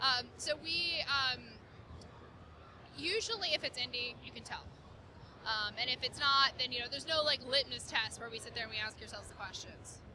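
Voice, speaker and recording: The speech comes at a fairly quick pace with crowd noise in the background. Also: woman. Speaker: marketing lead for an indie game subscription company. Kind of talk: interview. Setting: gaming convention floor. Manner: fast.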